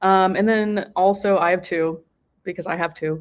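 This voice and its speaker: Moderately paced speech in a Texan accent comes with monotone, flat intonation on a very clean recording with a silent background. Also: woman. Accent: Texan American. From Texas, US. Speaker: postgraduate philosophy student. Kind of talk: panel discussion. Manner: casual, filler-heavy.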